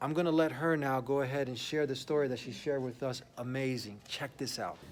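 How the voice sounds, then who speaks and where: With an ordinary speaking voice, a man talks at a fairly quick pace, at medium pitch, with fairly even intonation. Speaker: Islamic outreach host. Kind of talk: casual talk to camera, host interviewing guests.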